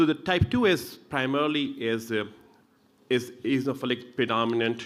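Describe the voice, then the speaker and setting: A man with an Indian accent and lively intonation. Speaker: pulmonologist. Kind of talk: medical lecture. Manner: fast.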